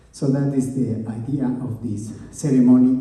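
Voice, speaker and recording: A man with an Andean accent talks at a very slow pace. Room echo is audible. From Bolivia, Oruro. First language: Quechua. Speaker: musician. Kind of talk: stage banter between songs. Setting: stage with audience. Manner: halting.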